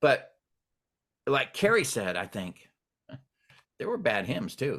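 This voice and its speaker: Showing vocal fry, a man at medium pitch talks very slowly with very wide pitch swings. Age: 60s. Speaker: podcast host and music teacher. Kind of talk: casual interview chat.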